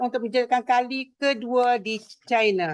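Her voice sits high, and she keeps her intonation fairly even. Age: 60s. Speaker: direct sales entrepreneur. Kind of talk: testimony speech.

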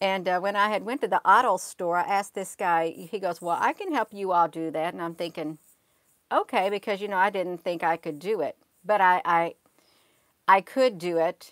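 A woman's medium-pitched voice at a moderate pace, with ordinary pitch variation and a quiet background. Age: 50s. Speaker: livestream host. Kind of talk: casual live chat with viewers. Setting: livestream at home computer. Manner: rambling, hesitant with many fillers. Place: home room. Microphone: earbuds.

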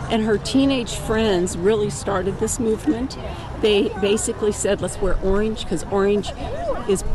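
With fairly even intonation, a woman speaks at a moderate pace in dry, echo-free sound over noticeable background noise. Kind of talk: interview answer. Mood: earnest, explanatory. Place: open country.

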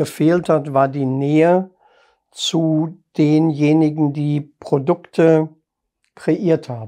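A man speaks with a fairly high pitch and a dark, mellow tone. The background is quiet. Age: 60s. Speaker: private banker turned self-employed financial adviser; interviewee. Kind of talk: interview. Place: studio.

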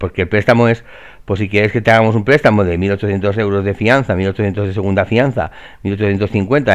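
Against a quiet background, a man with an ordinary speaking voice talks at a moderate pace and a fairly low pitch. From Valencia, Spain. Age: 40s. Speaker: real estate trainer. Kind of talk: screen-share tutorial. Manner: casual, filler-heavy.

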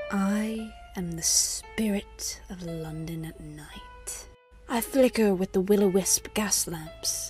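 A put-on character voice that sounds female, speaking very slowly. Music plays clearly in the background. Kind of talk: gothic storytelling narration. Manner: theatrical, sly, gleefully spooky.

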